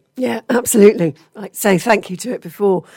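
Putting on a character voice, a woman speaks at a fairly quick pace in a medium pitch that sounds croaky and raspy.

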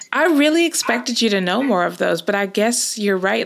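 A woman with a Southern California accent, lively intonation and a moderate pace, over noticeable background noise. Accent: American, Southern California. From Los Angeles, California. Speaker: podcast co-host. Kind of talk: casual chat.

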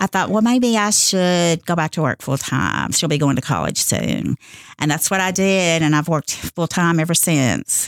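A woman's fairly low voice with a Kentucky accent, a moderate pace, ordinary pitch variation and very even loudness, in a dry, close sound with no echo. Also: very clean recording, silent background. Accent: western Kentucky Southern US. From Kentucky, Owensboro area. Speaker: college administrative assistant. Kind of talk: radio interview.

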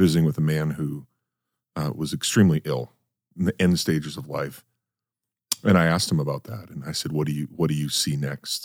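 With an American accent, a man speaks at a fairly quick pace in a very deep, low voice with vocal fry and ordinary pitch variation. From North Dakota, US. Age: 40s. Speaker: podcast host. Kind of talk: casual interview. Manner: halting, many repetitions.

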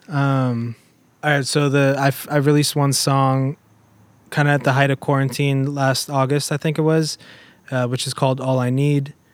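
A man speaks with a Southern California accent at a moderate pace. His pitch is fairly high and his intonation is flat and monotone. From Germany, south of Munich. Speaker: indie musician. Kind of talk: casual chat.

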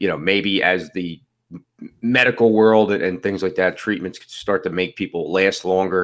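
Fairly low in pitch, a man speaks at a moderate pace with fairly even intonation in an unremarkable speaking voice. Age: 40s. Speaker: fantasy football podcast host. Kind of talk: casual chat.

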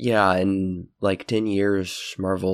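Very slowly and with fairly even intonation, a man talks in a very deep, low voice. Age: 20s. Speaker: podcast host. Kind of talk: casual chat.

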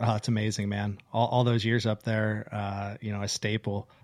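A man with an American accent speaks in a fairly low pitch with monotone, flat intonation. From Pennsylvania. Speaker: podcast host. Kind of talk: casual chat. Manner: halting, many fillers.

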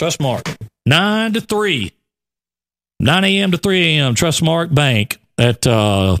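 A man with an Alabama accent, fairly high in pitch and very slow, with very wide pitch swings, in a dry, close sound with no echo on a very clean recording with a silent background. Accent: Southern US (Alabama). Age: 40s. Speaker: radio show co-host. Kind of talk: casual morning show chat.

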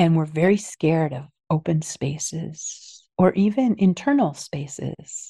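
A somewhat breathy voice with a dark, mellow tone speaks fairly slowly in an American accent. Pitch varies in an ordinary way, and the sound is dry and close with no echo. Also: woman, fairly low pitch for a woman. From US, New Jersey (Princeton). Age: old. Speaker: anthropologist and author. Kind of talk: interview storytelling.

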